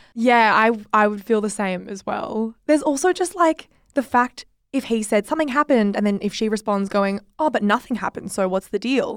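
A woman with a fairly high pitch and lively intonation talks at a fairly quick pace, captured in a very clean recording with a silent background and a dry, close sound with no echo. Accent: Australian. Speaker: podcast host. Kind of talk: casual chat. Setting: studio.

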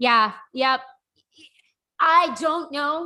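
A woman uses a raised, projected voice with a bright, sharp tone. Her pitch variation is ordinary. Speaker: hockey writer and podcast co-host. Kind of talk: casual chat.

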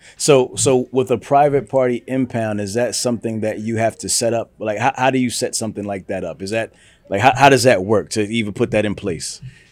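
This man has an ordinary speaking voice at a medium pitch. He goes at a fairly quick pace with fairly even intonation and hardly any pauses. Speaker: podcast host. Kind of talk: interview. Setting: studio.

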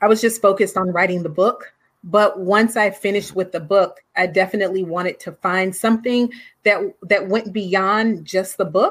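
A woman speaks in a normal speaking voice at medium pitch, with an American accent and fairly even intonation at a moderate pace. The recording is very clean, with a silent background. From US West Coast, Oakland. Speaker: author and teacher. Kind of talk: interview.

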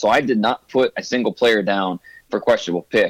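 A man's normal speaking voice at a fairly quick pace, with ordinary pitch variation and a dry, close sound with no echo. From US Midwest, Ohio. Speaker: football draft analyst. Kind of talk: interview.

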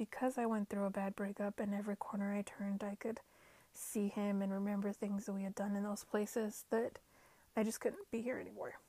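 At a fairly quick pace, a woman with an American accent speaks at medium pitch in a dark, mellow, somewhat breathy tone. Her intonation is flat and monotone, and the sound is dry and close with no echo. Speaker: podcast host. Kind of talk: casual self-help podcast monologue. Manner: chatty, self-correcting with fillers.

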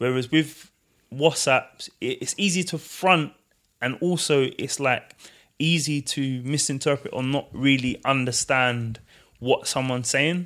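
A man with a plain, everyday voice and fairly high pitch speaks at a fairly slow pace with fairly even intonation, on a very clean recording with a silent background. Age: 30s. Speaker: co-founder of a men's conversation platform. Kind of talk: casual interview conversation.

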